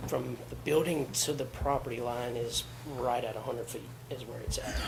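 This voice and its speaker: Against noticeable background noise and audible room echo, a man talks at a moderate pace. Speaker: applicant. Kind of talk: public hearing testimony.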